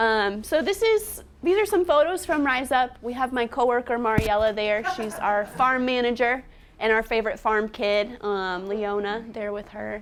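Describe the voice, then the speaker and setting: A woman at a moderate pace, fairly high in pitch, with ordinary pitch variation. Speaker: nonprofit farm educator. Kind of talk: presentation. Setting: seminar room with live audience. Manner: soft-spoken.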